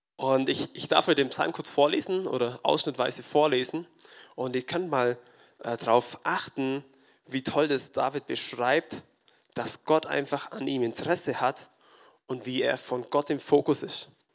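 Fairly slow delivery pairs with intonation that stays fairly even. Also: man. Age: 20s. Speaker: farmer and lay preacher. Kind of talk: sermon. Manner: halting.

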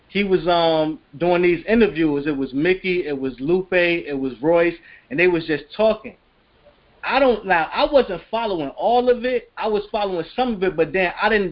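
This man has a high pitch and lively intonation. He speaks at a moderate pace. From Chicago. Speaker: rapper. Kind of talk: casual interview.

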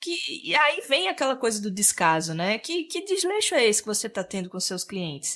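A woman's bright, sharp voice sits fairly high, making very wide pitch swings at a moderate pace with hardly any pauses. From Sergipe, northeastern Brazil. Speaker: interior decorator and content creator. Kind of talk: interview, explanatory.

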